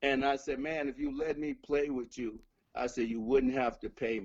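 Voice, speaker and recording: The speaker is a man with a medium pitch. He talks at a moderate pace. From Chicago. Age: 60s. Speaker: blues musician. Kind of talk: interview storytelling.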